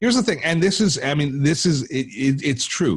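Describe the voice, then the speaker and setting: A man's somewhat breathy voice comes through at a fairly quick pace. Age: 60s. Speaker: tech educator and YouTuber. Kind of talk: podcast interview. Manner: halting, many repetitions.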